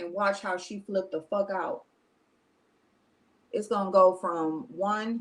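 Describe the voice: At a fairly slow pace, a woman talks at a medium pitch with fairly even intonation.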